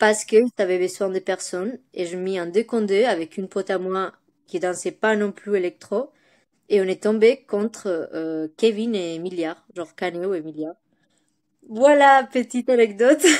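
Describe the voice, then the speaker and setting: A woman talks at a moderate pace in a Spanish accent. The sound is dry and close with no echo, and the recording is very clean with a silent background. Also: medium pitch for a woman, ordinary pitch variation. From Spain, Bilbao, Basque Country. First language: Spanish (speaking French). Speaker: dancer. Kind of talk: interview. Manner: halting, many hesitations.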